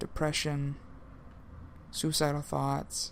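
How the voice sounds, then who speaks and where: A man at a fairly slow pace. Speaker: student podcast host. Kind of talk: solo podcast talk. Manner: halting, many fillers and repeats.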